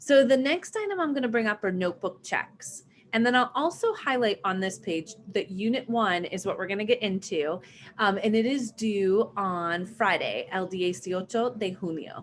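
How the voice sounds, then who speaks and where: Fairly high in pitch, a woman with a plain, everyday voice speaks at a moderate pace with lively intonation. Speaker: online Spanish teacher. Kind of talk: live online lesson.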